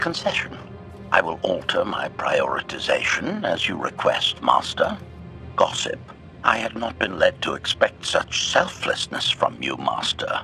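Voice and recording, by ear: A man performs a put-on character voice at an extremely low pitch with vocal fry and a bright, sharp tone. He goes at a fairly slow pace with few pauses and very wide pitch swings, over faint background music.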